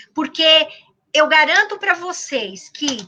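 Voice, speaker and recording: A woman talks at a high pitch. Her voice is raised and projected. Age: 60s. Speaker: university professor. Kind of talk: interview. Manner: animated.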